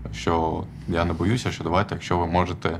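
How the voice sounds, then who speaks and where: A man talks fairly quickly with an Armenian accent, his pitch very deep and low. Noticeable background noise runs underneath. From Odesa, southern Ukraine. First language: Armenian (speaking Ukrainian). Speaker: activist, programmer. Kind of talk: personal story told from stage. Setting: stage with audience. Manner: halting, many fillers.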